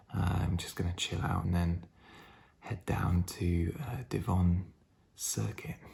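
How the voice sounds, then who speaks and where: This man has a very deep, low pitch and a somewhat breathy sound. His pitch varies in an ordinary way. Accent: British. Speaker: vlogger, amateur runner. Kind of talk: casual vlog.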